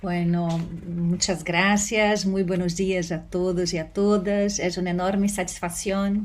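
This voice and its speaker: The delivery is very slow and monotone, with flat intonation and a Portuguese accent. Room echo is audible. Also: woman. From Brazil. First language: Portuguese (speaking Spanish). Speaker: law professor. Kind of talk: conference talk. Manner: hesitant, many fillers.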